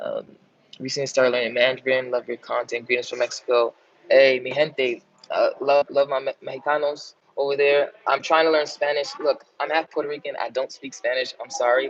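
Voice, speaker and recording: A New York accent at a fairly quick pace, dry and close with no echo. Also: man. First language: American Sign Language. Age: 20s. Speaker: language YouTuber. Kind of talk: live stream Q&A. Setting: live stream. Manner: animated.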